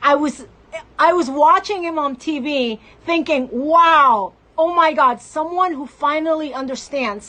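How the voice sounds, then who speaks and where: A woman speaks in a high, raised, projected voice at a fairly slow pace. Her tone is passionate, with ordinary pitch variation. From Mexico. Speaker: political activist. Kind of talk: political commentary monologue.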